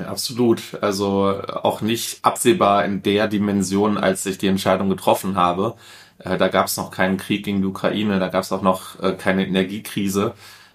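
Against a very clean recording with a silent background, a man speaks at a moderate pace with a fairly low pitch and monotone, flat intonation. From Ruhr area, Duisburg. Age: 30s. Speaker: politician. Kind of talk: interview.

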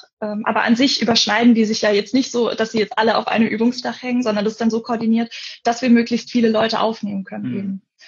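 A somewhat breathy woman at a fairly high pitch, very fast and in a monotone, flat intonation. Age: 20s. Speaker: forestry student and camp volunteer. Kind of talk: casual interview. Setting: Instagram live video call.

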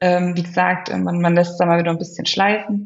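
A woman talks at a fairly quick pace with a medium pitch. Her intonation is monotone and flat, and her voice is somewhat breathy. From Germany. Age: 30s. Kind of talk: interview. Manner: hesitant, many filler sounds.

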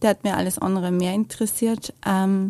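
With a slight Viennese accent, a woman speaks at medium pitch and a moderate pace, her intonation fairly even, on a very clean recording with a silent background. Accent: Viennese-area Austrian German, little dialect. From Lower Austria, near Vienna. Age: 30s. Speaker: mother and business owner. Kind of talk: testimony interview. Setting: studio.

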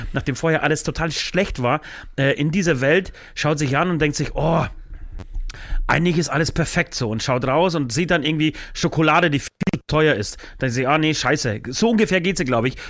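This man's voice is fairly high in pitch, with ordinary pitch variation. He keeps a moderate pace. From Poland. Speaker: rock musician. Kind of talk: casual chat.

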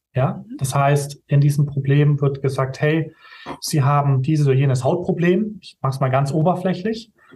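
A man speaks at a moderate pace in a fairly high, somewhat breathy voice with a dark, mellow tone. His loudness swings widely while his pitch varies in an ordinary way. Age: 20s. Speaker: video production company owner. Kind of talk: interview.

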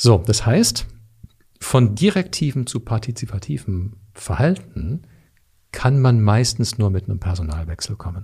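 Somewhat breathy and dark, mellow in tone, a man at medium pitch speaks very slowly with long, frequent pauses. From Canada. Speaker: leadership coach. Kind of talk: interview.

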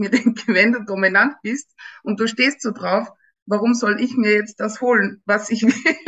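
In an Austrian accent, a woman speaks with fairly high pitch and fairly even intonation. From Upper Austria. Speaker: dating experience guest. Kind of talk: casual interview. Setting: studio.

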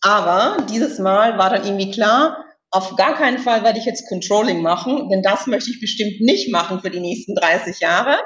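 A woman speaks in a plain, everyday voice, fairly high in pitch. Her intonation is lively and her pace moderate. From Austria, Styria. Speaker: executive search consultant. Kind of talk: interview.

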